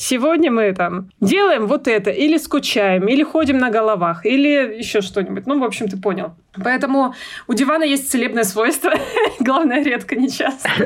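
A woman with a high pitch speaks at a moderate pace with lively intonation and very even loudness. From Russia, Urals (Yekaterinburg). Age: 30s. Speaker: mother. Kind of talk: casual chat.

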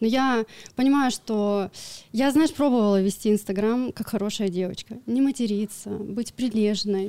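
A woman's dark, mellow voice at a fairly high pitch, with ordinary pitch variation, in a very clean recording with a silent background. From Siberia, Irkutsk region village. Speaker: crypto trader and blogger. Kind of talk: casual interview. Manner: animated.

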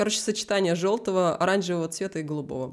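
A woman's fairly low-pitched speech with ordinary pitch variation. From Vitebsk, Belarus. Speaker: 3D visualizer and artist. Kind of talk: interview answers, casual chat. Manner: animated, talkative, self-deprecating humor.

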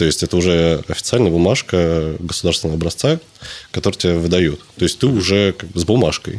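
A man's very deep, low voice at a fairly quick pace, with ordinary pitch variation and very even loudness. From Russia, Tula. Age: 20s. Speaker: fitness trainer. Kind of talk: casual chat.

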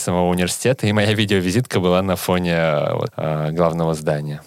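Very deep, low male speech at a moderate pace with ordinary pitch variation. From Russia, Saint Petersburg. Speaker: PhD student and startup founder. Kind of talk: casual interview.

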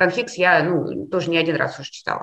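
Over noticeable background noise, a woman speaks at a moderate pace in a medium-pitched voice. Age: 40s. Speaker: university dean and psychologist. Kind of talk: interview.

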